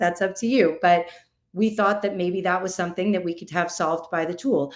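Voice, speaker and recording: Ordinary pitch variation in an ordinary speaking voice. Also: woman. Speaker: in-house attorney, panel speaker. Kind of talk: conference presentation. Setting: virtual summit, video call.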